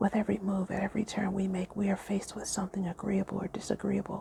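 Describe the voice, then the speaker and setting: Soft-spoken talk at a fairly quick pace amid noticeable background noise. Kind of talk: audiobook-style reading of a spiritual book, ASMR story time.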